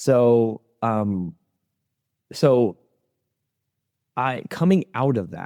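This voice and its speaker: Dark and mellow in tone, a man's voice sits at a medium pitch with ordinary pitch variation and an American accent. The sound is dry and close, with no echo. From US, Sikh Punjabi family. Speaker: former aerospace engineer. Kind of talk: interview conversation. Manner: hesitant, many fillers and repetitions.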